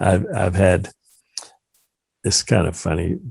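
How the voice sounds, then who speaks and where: A man's very deep, low, somewhat breathy voice at a moderate pace. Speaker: lawyer. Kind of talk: interview. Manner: halting.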